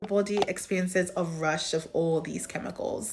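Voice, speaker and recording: A woman's medium-pitched voice with fairly even intonation comes through noticeable background noise. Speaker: psychology educator and content creator. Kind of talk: educational explainer talking to camera.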